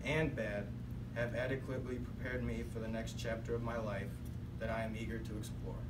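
At a moderate pace, a man talks through loud background noise. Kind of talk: prepared speech. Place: classroom. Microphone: camera far.

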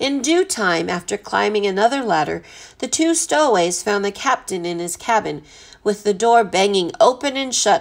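Someone reads with an unforced voice and a lively rise and fall in pitch.

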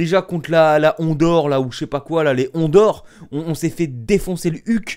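In a quiet background, a man speaks in a high pitch. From France. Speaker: YouTuber and football fan. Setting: home video, alone at home. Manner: animated, loud, exasperated, ranting; over-the-top, theatrical, melodramatic. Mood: disappointed, ranting. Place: home room. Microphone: webcam.

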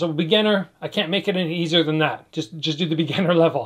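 The background is quiet as a man talks at a fairly quick pace. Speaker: fitness instructor. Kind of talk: workout tutorial. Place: home room. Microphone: camera far.

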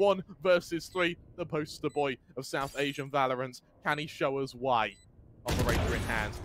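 A man speaks in an energetic, animated tone at a fairly high pitch with ordinary pitch variation. Noticeable background noise runs behind him. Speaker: esports commentator. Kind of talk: live esports commentary. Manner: animated, excitable play-by-play; fast, energetic, building tension.

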